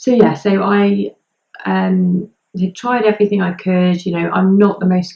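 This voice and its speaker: This woman has an English accent and a fairly low pitch. She talks at a fairly slow pace. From southern England, Hampshire. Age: 20s. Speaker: vlogger. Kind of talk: personal vlog. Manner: hesitant, many ums.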